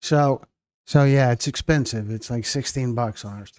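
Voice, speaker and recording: A plain, everyday voice at a moderate pace with fairly even intonation, dry and close with no echo, over a quiet background. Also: man. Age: 60s. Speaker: documentary channel host. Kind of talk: live stream chat with viewers. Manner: casual, rambling with repetitions.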